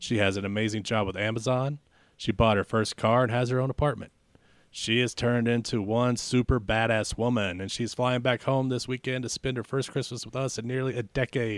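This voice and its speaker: A man of medium pitch speaks in a plain, everyday voice at a fairly quick pace with fairly even intonation. The recording is very clean with a silent background and a dry, close sound with no echo. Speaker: podcast co-host. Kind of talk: casual banter, comedy podcast. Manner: fast talker.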